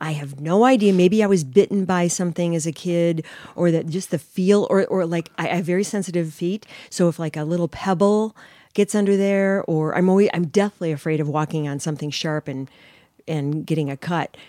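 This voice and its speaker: On a very clean recording with a silent background and a dry, close sound with no echo, a woman speaks fairly quickly in a dark, mellow tone at a fairly low pitch with ordinary pitch variation. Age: 60s. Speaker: podcast co-host. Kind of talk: casual chat. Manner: animated.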